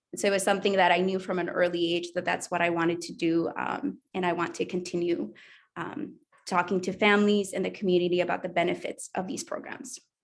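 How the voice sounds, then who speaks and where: Very fast speech comes from a woman with a Spanish accent and fairly even intonation. The recording is very clean, with a silent background. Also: fairly low pitch for a woman. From El Salvador. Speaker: language education administrator. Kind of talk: panel discussion.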